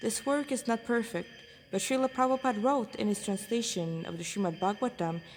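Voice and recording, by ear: A woman's slightly mellow voice with ordinary pitch variation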